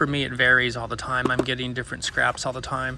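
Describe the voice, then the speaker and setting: Noticeable noise fills the background as a man's medium-pitched voice comes through. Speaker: gardening video host. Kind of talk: tutorial. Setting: outdoors at night in a city yard. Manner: whispering; casual, with fillers and restarts.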